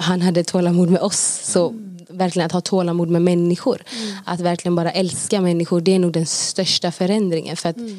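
Noticeable background noise sits behind a woman's voice. She speaks at a fairly low pitch with fairly even intonation. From Gothenburg, Sweden. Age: 20s. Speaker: Bible school student. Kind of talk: casual interview.

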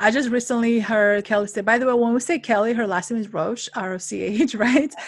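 A woman with an Armenian accent speaks at a fairly quick pace and fairly high pitch with ordinary pitch variation. The recording is very clean, with a silent background. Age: 40s. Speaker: podcast host and health coach. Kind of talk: casual interview chat.

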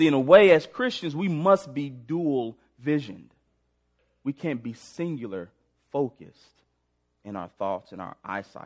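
Speaking slowly with long, frequent pauses, a man with an American accent uses a fairly high pitch, very wide pitch swings and big swings in loudness, on a very clean recording with a silent background. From US Midwest, St. Louis, Missouri. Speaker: pastor. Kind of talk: sermon.

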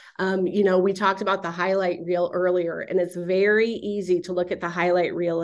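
A woman in an American accent, medium in pitch, with monotone, flat intonation. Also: quiet background. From South Florida. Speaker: marriage ministry director. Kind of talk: casual interview.

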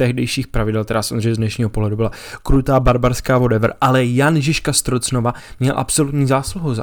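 Pitch varies in an ordinary way in an unremarkable speaking voice. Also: man. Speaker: podcast host. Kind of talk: solo podcast monologue on religious history. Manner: casual, profane banter.

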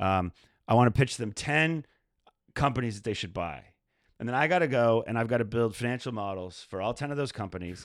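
A man with an American accent and an unremarkable speaking voice, lively intonation, on a very clean recording with a silent background. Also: medium pitch for a man, fairly quick pace. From outside the US. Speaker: stand-up comedian. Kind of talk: casual chat.

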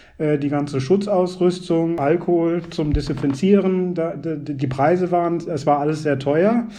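A high-voiced man talks at a fairly slow pace with hardly any pauses and fairly even intonation, with audible room echo and noticeable background noise. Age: 30s. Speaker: NGO project officer. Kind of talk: interview.

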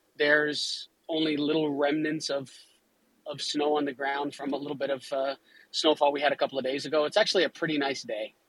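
A man with a fairly high pitch, speaking fairly quickly in a monotone, flat intonation. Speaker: atheist participant with psychology degree. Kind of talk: casual debate. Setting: online audio chat room.

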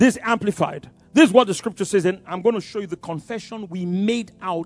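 A man speaks at a moderate pace with a high pitch and a Nigerian accent. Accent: Nigerian (Yoruba) English. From Nigeria (Yoruba). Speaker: pastor. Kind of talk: sermon.

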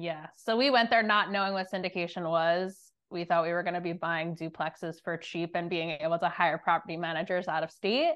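A woman with an American accent speaks in a normal speaking voice. She talks fairly quickly in a fairly low pitch with fairly even intonation. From New Jersey. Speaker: real estate investor. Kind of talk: interview.

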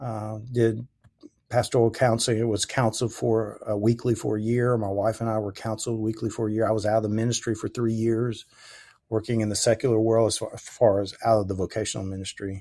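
A man with a Southern US accent talks at a fairly quick pace and medium pitch, with monotone, flat intonation and a dark, mellow tone, in a very clean recording with a silent background. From US South, Memphis, Tennessee. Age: 50s. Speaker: former pastor. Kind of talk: testimony in interview. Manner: halting, many fillers.

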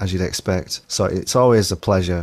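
A man with a Yorkshire accent on a very clean recording with a silent background. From Yorkshire, England. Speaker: singer-songwriter. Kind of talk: casual chat.

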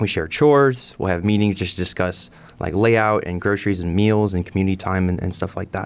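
At a fairly quick pace, a man with an American accent talks in a very deep, low pitch with ordinary pitch variation. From Texas, Irving near Dallas. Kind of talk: radio interview. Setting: studio.

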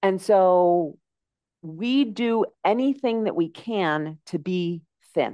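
In an American accent, a woman speaks very slowly with a dark, mellow tone. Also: medium pitch for a woman, lively intonation. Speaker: health and life coach. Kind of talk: interview. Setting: remote call.

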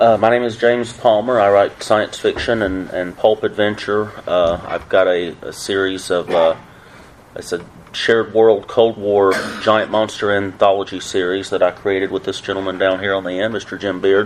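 Against noticeable background noise, a man with a fairly low pitch talks at a moderate pace in a monotone, flat intonation. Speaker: panelist. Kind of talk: panel discussion.

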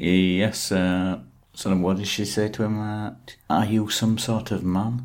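Speaking very slowly, a man keeps a fairly even intonation at a fairly low pitch. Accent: English. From England. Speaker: podcast co-host. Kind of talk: casual chat.

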